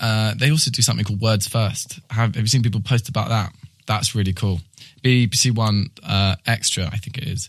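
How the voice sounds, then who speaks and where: A man talks with a medium pitch. His voice is somewhat breathy. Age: 20s. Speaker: poetry podcast host. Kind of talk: casual interview chat. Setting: studio.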